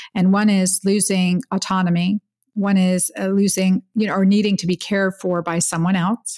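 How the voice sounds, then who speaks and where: Against a silent background in a very clean recording, a woman speaks at a moderate pace and medium pitch in a somewhat breathy, monotone, flat voice, the sound dry and close with no echo. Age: 50s. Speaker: physician and hormone expert. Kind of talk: interview.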